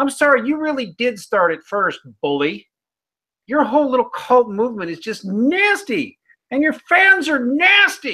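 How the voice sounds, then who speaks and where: With a Midwestern American accent, a man uses a raised, projected voice at an extremely high pitch, bright, sharp and animated, at a moderate pace in a very clean recording with a silent background. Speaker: atheism critic channel host. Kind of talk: casual chat.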